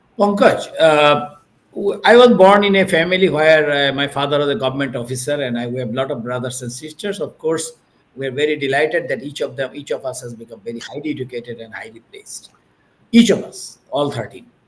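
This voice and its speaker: A man with a Bengali accent talks at a fairly quick pace in a fairly high voice. His intonation is lively, and his loudness swings widely. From Bangladesh. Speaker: business executive. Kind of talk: interview. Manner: halting, with many fillers.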